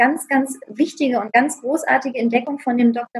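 A woman's high-pitched voice at a moderate pace, with fairly even intonation. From Hanover, northern Germany. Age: 40s. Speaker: emotional healing coach. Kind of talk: interview. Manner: halting, many fillers.

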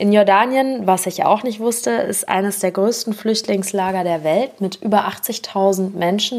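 A woman's medium-pitched, ordinary speaking voice at a moderate pace, with ordinary pitch variation. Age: 30s. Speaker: podcast host. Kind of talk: scripted intro; interview.

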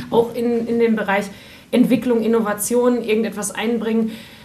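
A woman's fairly high-pitched voice amid noticeable background noise and audible room echo. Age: under 60. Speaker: radio host. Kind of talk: interview.

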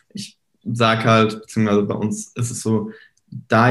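A man is speaking. His voice sits at medium pitch. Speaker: social media marketing entrepreneur. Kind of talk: casual chat. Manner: frequent filler hesitations.

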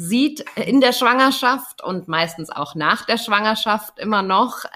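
A plain, everyday voice from a woman at medium pitch, moderate pace and lively intonation. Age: 30s. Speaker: doula. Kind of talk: casual chat. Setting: video call.

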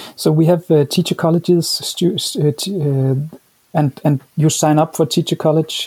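Someone with a Danish accent speaks at a fairly slow pace in a dark, mellow, somewhat breathy tone with fairly even intonation, the sound dry and close with no echo. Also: man. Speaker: education professor. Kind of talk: interview. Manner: halting, with many repeated words.

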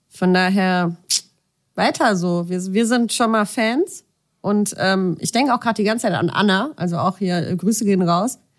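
Her pace is moderate and her pitch variation ordinary. This woman speaks at a medium pitch. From southern Germany. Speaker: podcast co-host. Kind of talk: casual chat. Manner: animated.

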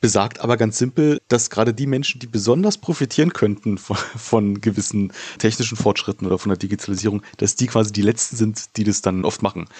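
At a fairly quick pace with hardly any pauses, a man talks in a plain, everyday voice, fairly low in pitch with ordinary pitch variation, the sound dry and close with no echo. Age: 30s. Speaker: podcast host. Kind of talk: interview.

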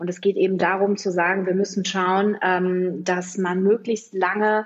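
The woman speaks with monotone, flat intonation at a medium pitch and a fairly slow pace. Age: 40s. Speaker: health project organizer. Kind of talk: interview.

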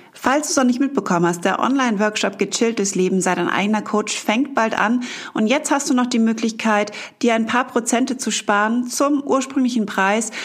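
Fairly high-pitched woman's voice, gentle and warm in tone, with ordinary pitch variation and a moderate pace over noticeable background noise. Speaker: mental and emotion coach, meditation guide. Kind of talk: guided meditation. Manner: gentle, warm, soft-spoken.

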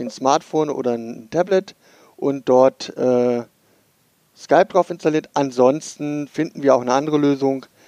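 This man talks at a moderate pace with a dark, mellow tone and a fairly high pitch. The sound is dry and close with no echo, and his pitch varies an ordinary amount. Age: 40s. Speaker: podcast host, IT worker with congenital heart defect. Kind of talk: casual podcast chat.

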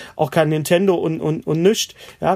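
A man with an ordinary speaking voice, fairly high in pitch, at a moderate pace with fairly even intonation. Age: 50s. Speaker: stand-up comedian. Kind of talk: casual chat. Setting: remote call from home.

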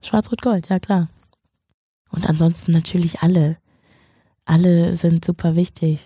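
A woman speaks at a fairly slow pace with long, frequent pauses, her fairly low pitch carrying a dark, mellow, somewhat breathy tone. Her loudness stays very even and her intonation fairly even, in a dry, close sound with no echo on a very clean recording with a silent background. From northern Germany, Schleswig-Holstein. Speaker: TV presenter and journalist. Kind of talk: casual interview.

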